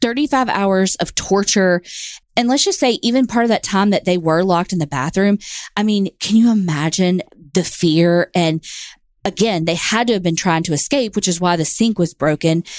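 With a Southern US accent, a woman speaks at a moderate pace and medium pitch, her lively intonation and very even loudness captured in a very clean, dry, close recording with no echo and a silent background. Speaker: true crime podcast co-host. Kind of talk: casual storytelling chat.

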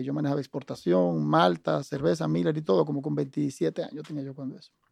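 A man with a fairly high pitch and a dark, mellow tone makes very wide pitch swings. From Dominican Republic, raised in Santo Domingo. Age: 50s. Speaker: business executive. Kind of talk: interview.

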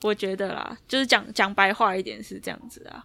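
Talking at a fairly quick pace, a woman with a normal speaking voice uses a medium pitch and ordinary pitch variation. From Taiwan. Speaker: basketball player. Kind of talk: interview.

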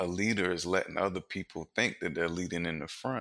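Fairly even intonation and an American accent come through on a very clean recording with a silent background and a dry, close sound with no echo. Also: man. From Wilmington, North Carolina. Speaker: former gang leader, brewery worker. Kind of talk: interview.

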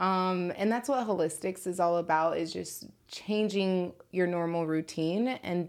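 With an American accent, a woman speaks at a moderate pace in a fairly low pitch with ordinary pitch variation. Hers is an unremarkable speaking voice. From Chicago. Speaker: cannabis business founder. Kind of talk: casual chat.

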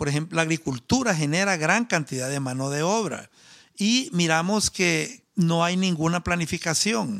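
A man's high voice with lively intonation at a fairly slow pace, on a very clean recording with a silent background. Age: 50s. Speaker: agronomist and party founder. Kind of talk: interview.

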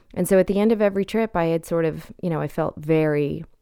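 A woman's very deep, low voice moves at a moderate pace with fairly even intonation. The recording is very clean, the background silent. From Canada. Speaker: novelist. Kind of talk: interview.

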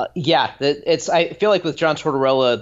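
With ordinary pitch variation and a moderate pace, a man talks in an unremarkable speaking voice. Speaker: hockey blogger. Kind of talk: casual chat.

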